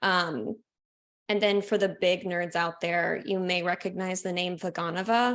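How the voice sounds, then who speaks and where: In a very clean recording with a silent background, a woman with a plain, everyday voice speaks at a medium pitch and a fairly slow pace with fairly even intonation. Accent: American. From Oklahoma. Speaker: astrologer and former ballet dancer. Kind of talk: casual chat.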